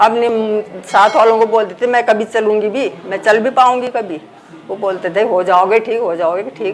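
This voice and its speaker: Music plays behind a woman's fairly high voice. Her intonation stays fairly even. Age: 60s. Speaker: therapy client giving testimonial. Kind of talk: testimony.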